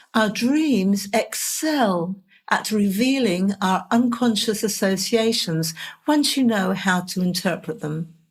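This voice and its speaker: With an English accent, a woman talks at a very slow pace. Her voice is somewhat breathy, with lively intonation. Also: medium pitch for a woman. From England. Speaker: podcast host, dream interpreter. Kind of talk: scripted podcast monologue.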